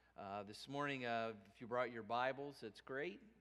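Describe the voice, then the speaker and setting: A man speaks with ordinary pitch variation. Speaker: minister. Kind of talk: sermon. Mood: warm, relaxed. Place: church. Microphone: headset.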